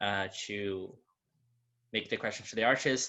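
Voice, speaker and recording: A man is speaking. He has a Portuguese accent. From Brazil. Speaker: moderator, gallery director. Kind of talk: panel moderation. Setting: video call.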